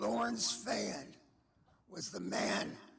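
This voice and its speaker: A man's voice with noticeable background noise. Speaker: cheerleader, hall of fame inductee. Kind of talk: memorial tribute speech. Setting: celebration of life event.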